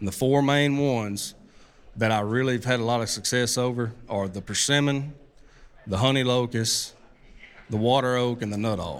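A man speaks with an Arkansas accent at medium pitch and a moderate pace. His intonation is fairly even, with long, frequent pauses. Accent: Southern US (Arkansas). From US South, Arkansas. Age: 30s. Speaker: bowhunter. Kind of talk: live talk at a hunting expo. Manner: halting, many repeats and fillers.

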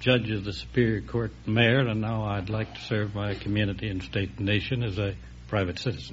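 A man with a medium-pitched voice. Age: 60s. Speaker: former city mayor and judge. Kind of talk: 1950s radio quiz show interview, earnest civic remarks. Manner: measured, slightly halting with frequent uh pauses; earnest, speech-like formal delivery.

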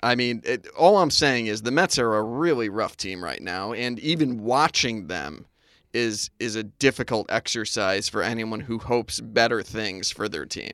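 In a normal speaking voice of medium pitch, a man talks at a moderate pace with lively intonation. The recording is very clean, with a silent background. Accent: American. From Connecticut. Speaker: sports podcast co-host. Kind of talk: casual chat.

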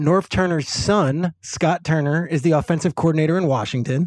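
Dry and close with no echo, the recording captures a man with an unremarkable speaking voice, fairly high in pitch, talking at a fairly quick pace with fairly even intonation. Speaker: football analyst. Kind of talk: casual interview chat.

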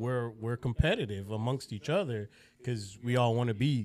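This is a normal speaking voice from a man with an American accent. He talks at a moderate pace and medium pitch, with fairly even intonation. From South Florida, Broward County. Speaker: police officer. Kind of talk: casual interview chat.

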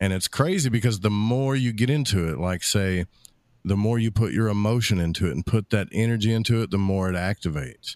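In a very clean recording with a silent background and a dry, close sound with no echo, a man with a fairly low pitch talks at a fairly quick pace with ordinary pitch variation. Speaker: radio host and esoteric enthusiast. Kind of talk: casual conversational interview.

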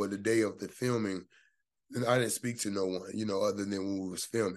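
With an unremarkable speaking voice, a man talks at a fairly quick pace in a fairly low pitch, his intonation fairly even over a quiet background. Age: 30s. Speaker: actor. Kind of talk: casual chat.

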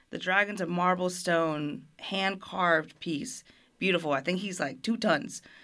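A woman's medium-pitched voice, bright and sharp in tone, at a fairly slow pace with ordinary pitch variation, on a very clean recording with a silent background. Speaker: restaurant staff member. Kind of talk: casual interview. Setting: studio.

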